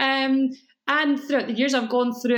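A woman is speaking. She has a Scottish accent. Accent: mellow Scottish. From Scotland. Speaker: cake school owner. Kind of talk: podcast interview.

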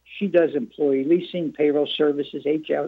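Here is a man with a fairly high pitch, talking at a moderate pace. His pitch varies in an ordinary way, and it is an unremarkable speaking voice. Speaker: chamber of commerce head. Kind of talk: casual chat. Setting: phone call.

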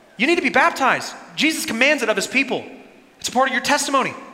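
A man's raised, projected voice at a very fast pace, with ordinary pitch variation and noticeable background noise. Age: 30s. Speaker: pastor. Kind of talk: sermon.

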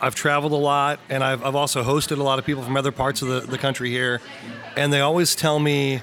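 A man with a Midwestern American accent and a fairly high voice, talking at a fairly quick pace over noticeable background noise. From Missouri, Lexington. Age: 40s. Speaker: brewery marketing manager. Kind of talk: casual chat. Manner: animated.

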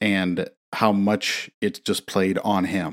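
A man with an American accent and a fairly low pitch, talking at a very slow pace on a very clean recording with a silent background. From US Midwest. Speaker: podcast co-host. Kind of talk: casual chat. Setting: home recording.

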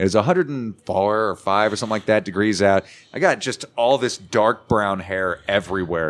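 A man has a plain, everyday voice with a fairly low pitch and ordinary pitch variation, at a moderate pace. The recording is very clean, with a silent background. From Arizona, Paulden/Chino Valley. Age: 20s. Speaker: guitarist and radio personality. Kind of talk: casual chat. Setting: saloon.

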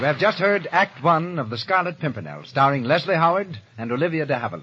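A man talks at a fairly quick pace in a fairly high pitch, his bright, sharp tone carrying a slightly husky edge as his pitch swings widely.

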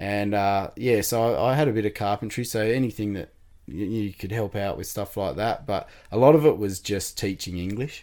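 A man with an Australian accent speaks at a moderate pace and fairly low pitch in a dark, mellow tone. The recording is very clean, with a silent background. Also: ordinary pitch variation. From Tasmania, Australia. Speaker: amputee sharing life story. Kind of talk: interview.

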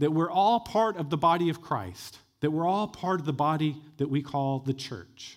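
In a very clean recording with a silent background, a man with a plain, everyday voice speaks at a fairly high pitch and moderate pace with lively intonation. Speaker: executive pastor. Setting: church.

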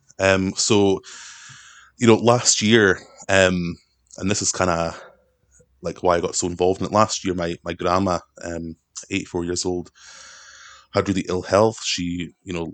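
A man's very deep, low voice at a moderate pace, monotone and flat, with long, frequent pauses over a quiet background. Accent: Scottish. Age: 20s. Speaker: political activist and carer. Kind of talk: casual chat.

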